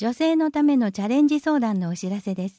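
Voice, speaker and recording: In a dry, close sound with no echo, a woman with a dark, mellow tone makes very wide pitch swings. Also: very clean recording, silent background. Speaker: municipal newsletter reader. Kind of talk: reading aloud.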